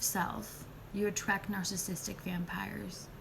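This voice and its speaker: Audible room echo surrounds the voice. A woman is speaking at a medium pitch. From Spanish-speaking country. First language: Spanish. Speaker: nurse and spiritual healer. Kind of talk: live video chat. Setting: live stream.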